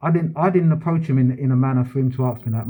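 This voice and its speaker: At a fairly quick pace, a man speaks at medium pitch, somewhat breathy. His pitch variation is ordinary. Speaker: vlogger, police station auditor. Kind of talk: heated complaint at police front counter. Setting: police station front counter. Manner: fast.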